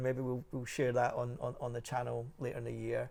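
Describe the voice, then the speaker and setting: This man talks at a very fast pace, his voice medium in pitch with a dark, mellow tone. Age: 50s. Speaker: motorcycle show host. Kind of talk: casual chat.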